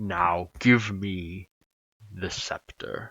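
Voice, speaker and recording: A man speaks in a put-on character voice, pitched fairly low. His intonation stays fairly even. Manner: authoritative.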